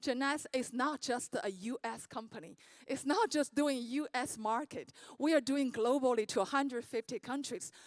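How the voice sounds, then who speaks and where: A woman with a Chinese accent speaks at a moderate pace in a high voice with ordinary pitch variation. The sound is dry and close, with no echo. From China. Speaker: network marketing speaker. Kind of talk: motivational speech.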